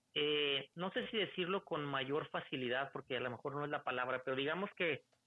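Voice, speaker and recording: At a moderate pace, this man uses an ordinary speaking voice, pitched fairly high and varying in pitch in an ordinary way. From northern Mexico, Torreón, Coahuila. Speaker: automotive industry worker and author of an emigration guide. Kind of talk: podcast interview.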